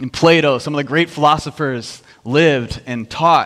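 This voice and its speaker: Against a quiet background, a man with an American accent talks at a moderate pace with ordinary pitch variation. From US Midwest. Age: 30s. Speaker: worship minister and youth pastor. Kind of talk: sermon. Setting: church service. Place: church.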